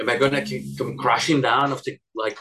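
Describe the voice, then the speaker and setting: A man talks with a Spanish accent at a moderate pace. His pitch sits in the medium range. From Spain. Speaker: animator. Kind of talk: interview.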